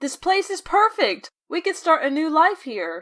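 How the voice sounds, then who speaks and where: Using a put-on character voice, a woman pitches herself extremely high. The sound is squeaky, with lively intonation at a moderate pace. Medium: audio drama.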